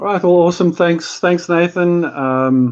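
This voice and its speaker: In a South African accent, a man speaks at a moderate pace with ordinary pitch variation. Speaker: company CFO, chartered accountant. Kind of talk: casual business chat.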